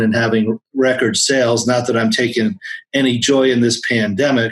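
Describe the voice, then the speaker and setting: A man talks at a moderate pace with a medium pitch and fairly even intonation. He has an unremarkable speaking voice. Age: 60s. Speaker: accountant. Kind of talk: interview.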